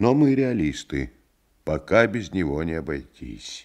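Vocal fry marks a man's voice, which moves through very wide pitch swings. He speaks at a fairly slow pace over a quiet background. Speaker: actor reading a novel aloud. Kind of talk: literary audiobook reading. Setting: vintage studio radio recording.

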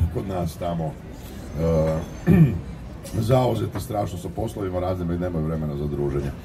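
The speech moves at a fairly quick pace, with audible room echo. Music plays in the background. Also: man. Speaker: actor. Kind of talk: press conference.

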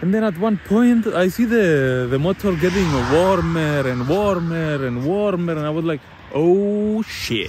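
Through noticeable background noise, in a dry sound with no echo, a man speaks at a high pitch and fairly slow pace with lively intonation. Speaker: van traveler vlogger. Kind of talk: casual vlog chat. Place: street. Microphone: phone near.

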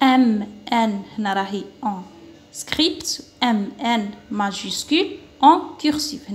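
A woman talks very slowly with an Algerian accent. Her pitch swings very widely. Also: fairly high pitch for a woman. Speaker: primary school teacher; teacher explaining a workbook. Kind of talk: lesson. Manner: slow, syllable-by-syllable. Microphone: phone near.

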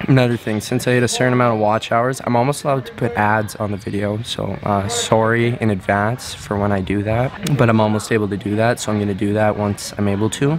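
Over music in the background, a man talks with fairly even intonation and hardly any pauses. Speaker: gymnast vlogger. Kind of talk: casual vlog chat. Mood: amused, relaxed. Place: home room. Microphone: phone near.

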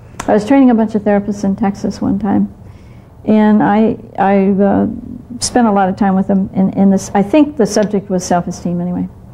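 Somewhat breathy woman at a fairly quick pace, with fairly even intonation. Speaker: therapist educator. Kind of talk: lecture. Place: studio. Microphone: lapel.

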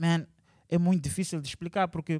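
A man is heard against a quiet background in a dry sound with no echo. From Maputo, Mozambique. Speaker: musician and multidisciplinary artist; interviewee. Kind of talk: interview. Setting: cultural centre venue. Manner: casual, with English interjections. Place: hall. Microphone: handheld.

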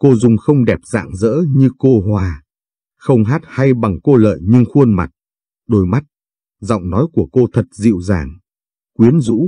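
At a fairly slow pace and medium pitch, a man talks with lively intonation in a dark, mellow, somewhat breathy tone, leaving long, frequent pauses, the sound dry and close with no echo. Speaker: story narrator. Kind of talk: scripted narration, reading a story aloud.

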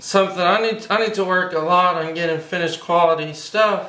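A man's raised, projected voice moves at a moderate pace with fairly even intonation and audible room echo. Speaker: cartoon drawing instructor. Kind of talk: tutorial.

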